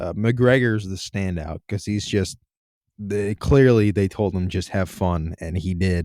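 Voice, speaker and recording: On a very clean recording with a silent background, a man with fairly low pitch and a dark, mellow tone speaks at a fairly slow pace with ordinary pitch variation, in a dry, close sound with no echo. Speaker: podcast co-host. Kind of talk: casual movie review chat.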